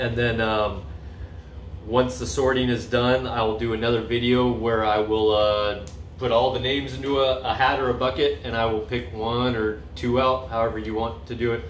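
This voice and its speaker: A man talks at a moderate pace with ordinary pitch variation, amid audible room echo and light background noise. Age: 40s. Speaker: vlogger. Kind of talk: casual vlog monologue. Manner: halting, many fillers. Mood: upbeat, enthusiastic. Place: home room. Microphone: phone near.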